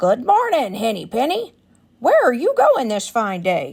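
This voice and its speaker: A woman performs a put-on character voice. It sits high in pitch. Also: moderate pace. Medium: read story.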